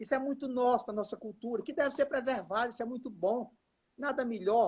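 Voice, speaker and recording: A man's extremely high-pitched voice shows ordinary pitch variation. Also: fairly quick pace. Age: 60s. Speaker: professor and politician. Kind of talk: casual chat.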